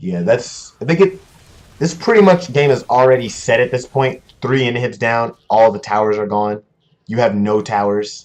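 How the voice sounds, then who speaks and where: Animated and with lively intonation, a man speaks at a moderate pace and medium pitch. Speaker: esports caster. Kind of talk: live commentary. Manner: loud.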